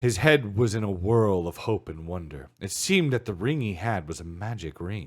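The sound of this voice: The intonation here is lively. It comes in an unforced reading voice.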